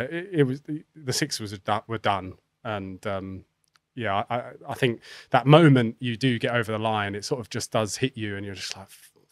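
Speaking in an English accent at a fairly slow pace, a man with a fairly low pitch and ordinary pitch variation shows big swings in loudness, with dry sound, no echo and a quiet background. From England. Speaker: professional cricketer; podcast guest. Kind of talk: casual chat. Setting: studio. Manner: halting. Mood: reflective, emotional recall. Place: studio. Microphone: studio mic.

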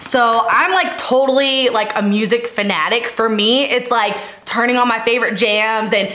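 There is audible room echo around this woman's voice. Her pitch varies in an ordinary way. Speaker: fitness coach vlogger. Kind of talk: casual vlog Q&A advice. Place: home room.

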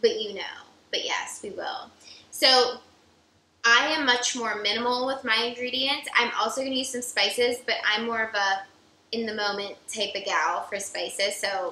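The voice has a bright, sharp tone and ordinary pitch variation at a moderate pace. Light background noise and audible room echo are present. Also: woman. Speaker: cooking show co-host. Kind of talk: tutorial. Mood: playful competitive banter. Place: kitchen.

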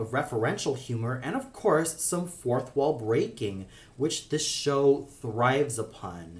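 A man is speaking here. His pace is fairly slow. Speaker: cartoon reviewer. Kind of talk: review commentary. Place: home room. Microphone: phone near.

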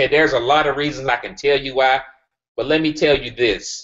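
The background here is quiet. A man does the talking. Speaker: group call host. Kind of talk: presentation to group. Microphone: video call.

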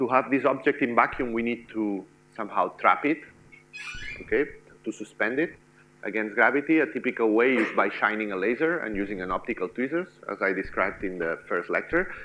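A man's fairly quick speech with lively intonation, music playing in the background. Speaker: lecturer. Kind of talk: lecture. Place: classroom.

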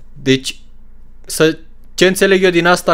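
A man is talking. His pace is fairly quick. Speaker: streamer reacting to anime. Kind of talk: casual commentary. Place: home room. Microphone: studio mic.

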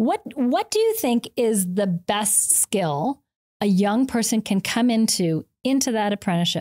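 A woman's fairly high-pitched voice, dark and mellow in tone, with lively intonation, very even loudness and a fairly slow pace over a quiet background. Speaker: podcast host. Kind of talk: interview. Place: studio. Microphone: studio mic.

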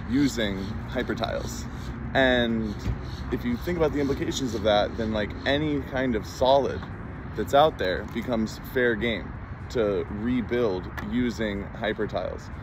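A man speaks at a fairly slow pace with ordinary pitch variation, his voice dry with no echo over noticeable background noise. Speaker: product demonstrator. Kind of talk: casual product demo. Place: open country. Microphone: phone near.

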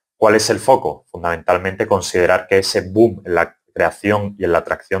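Speaking at a moderate pace, a man uses an ordinary speaking voice with a fairly low pitch. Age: 20s. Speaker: journalist. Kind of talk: project pitch. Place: home room. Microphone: webcam.

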